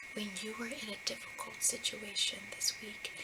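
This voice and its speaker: The voice is soft-spoken with a gentle tone, moving at a fairly slow pace. Background noise is noticeable. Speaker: ASMR roleplay counselor. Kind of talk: ASMR counseling roleplay, soft-spoken. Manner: soft-spoken, gentle.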